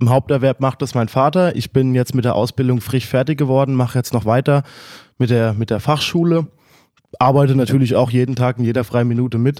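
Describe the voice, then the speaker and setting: The recording is very clean, with a silent background. A man with a dark, mellow tone speaks at a fairly quick pace, with very even loudness and fairly even intonation. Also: medium pitch for a man. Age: 20s. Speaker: young farmer. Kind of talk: interview.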